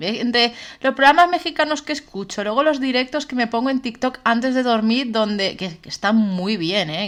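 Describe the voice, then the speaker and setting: The pitch swings very widely at a moderate pace. The recording is very clean, the background silent. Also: woman. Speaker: podcast co-host. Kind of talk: casual chat. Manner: loud.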